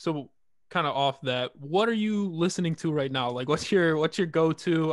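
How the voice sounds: A man speaks at a moderate pace. His pitch sits fairly high.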